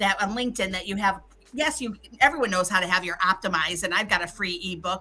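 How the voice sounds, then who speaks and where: Lively intonation marks this woman's speech. Her tone is bright, sharp and animated. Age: 60s. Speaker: LinkedIn expert and business mentor. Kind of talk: virtual summit talk.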